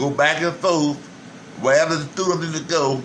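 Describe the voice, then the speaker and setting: A man with an American accent talks at a moderate pace in a fairly high voice. His intonation stays fairly even, and background noise is noticeable. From Beaufort, South Carolina. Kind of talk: interview answer.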